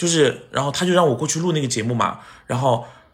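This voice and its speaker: A somewhat breathy man at a very fast pace, with ordinary pitch variation. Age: 30s. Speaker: TV host and actor. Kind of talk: casual chat. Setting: at home. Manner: animated.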